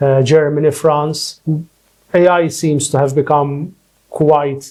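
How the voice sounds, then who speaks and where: A man's somewhat breathy, fairly high-pitched voice with a dark, mellow tone. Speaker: lawyer and academic, podcast host. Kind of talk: podcast interview host questions.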